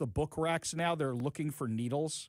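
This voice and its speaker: An ordinary speaking voice from a man with an American accent, fairly high in pitch, with ordinary pitch variation and a moderate pace. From New York. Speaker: talk radio host. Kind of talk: talk radio call-in show.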